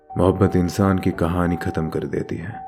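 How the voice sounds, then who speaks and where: Music plays in the background as a man speaks at a very deep, low pitch. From Bangladesh. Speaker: voice artist. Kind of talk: dramatic book reading.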